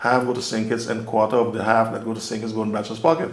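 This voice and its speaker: In an Anguillian accent, a man speaks at a medium pitch with monotone, flat intonation and audible room echo. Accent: Anguillian Caribbean English. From Anguilla. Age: 70s. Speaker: community elder. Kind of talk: oral history interview. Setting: on location.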